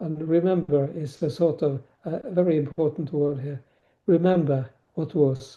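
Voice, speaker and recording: Speaking with a Norwegian accent, a man uses a fairly high pitch and fairly even intonation. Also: moderate pace. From Norway. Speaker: novelist and former teacher. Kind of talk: podcast interview. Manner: halting, many fillers.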